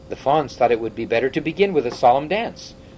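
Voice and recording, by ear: Lively intonation runs through this natural voice reading aloud.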